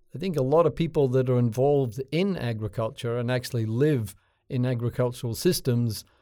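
On a very clean recording with a silent background, a man talks at a fairly quick pace. His medium-pitched voice has a dark, mellow tone and ordinary pitch variation. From Scotland. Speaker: plant breeding professor. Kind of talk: interview.

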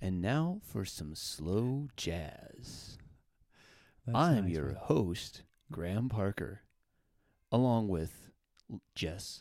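A man puts on a character voice at a fairly low pitch. He speaks very slowly, with long, frequent pauses. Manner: soft, slow, soothing.

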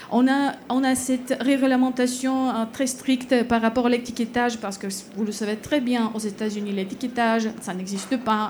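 Through noticeable background noise, a woman speaks at a fairly high pitch and moderate pace with ordinary pitch variation and hardly any pauses. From Bulgaria. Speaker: political scientist. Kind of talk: panel discussion. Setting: stage with audience.

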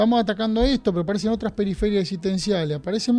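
A man with a high pitch and a dark, mellow tone talks at a very fast pace. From Argentina, Junín (Buenos Aires province). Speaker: parish priest. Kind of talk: radio interview.

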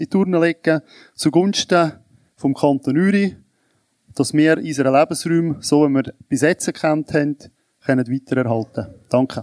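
Recorded very cleanly against a silent background in a dry, close sound with no echo, a man speaks at a fairly slow pace in a fairly high pitch with ordinary pitch variation. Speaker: citizens' association president. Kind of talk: panel debate.

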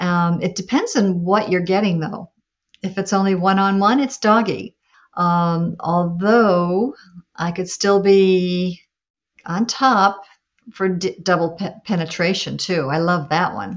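Using a normal speaking voice, a woman speaks at a fairly slow pace with a medium pitch and ordinary pitch variation. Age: 60s. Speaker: adult performer. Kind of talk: interview.

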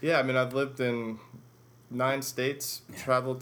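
A man's very fast, medium-pitched voice in a flat monotone. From Chicago, US Midwest. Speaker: professor of government. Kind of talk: interview.

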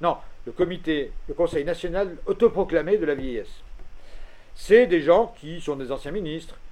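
With a dark, mellow tone and a high pitch, a man speaks at a fairly slow pace, his pitch varying in an ordinary way while his loudness swings widely. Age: old. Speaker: expert on ageing policy. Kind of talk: lecture. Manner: animated.

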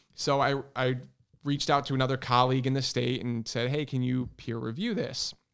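A man with an American accent and a medium pitch, speaking at a fairly quick pace in a monotone, flat intonation. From Connecticut, Hartford area. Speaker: firefighter lieutenant and fire instructor. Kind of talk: casual chat. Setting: studio.

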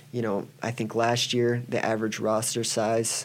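Using a plain, everyday voice, a man with an American accent speaks at a fairly slow pace and a fairly low pitch. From Iowa, US Midwest. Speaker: college wrestling coach. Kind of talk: interview.

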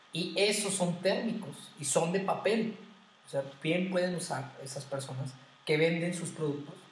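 There is audible room echo as a man with a high pitch talks at a fairly slow pace with ordinary pitch variation. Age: 20s. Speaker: podcast co-host, former seminarian. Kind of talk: casual chat.

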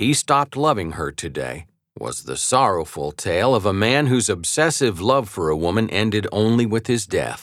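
In a very clean recording with a silent background, a man delivers a serious, dramatic tone in a fairly low voice with vocal fry, his pitch swinging very widely at a moderate pace with hardly any pauses. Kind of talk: audiobook narration of a biography, read aloud. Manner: measured, formal, steady storytelling pace; serious, dramatic tone with grave emphasis.

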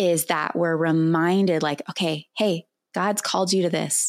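A woman with an American accent speaks in a normal speaking voice at a fairly low pitch, slowish and with fairly even intonation. The recording is very clean, with a silent background and a dry, close sound with no echo. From California. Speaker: pastor. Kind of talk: interview.

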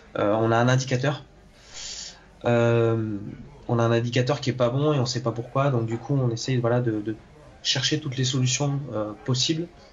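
With noticeable background noise behind him, a man talks in fairly even intonation. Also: long, frequent pauses. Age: 20s. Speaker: engineer turned aspiring actor. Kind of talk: interview. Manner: halting, many hesitations and repetitions.

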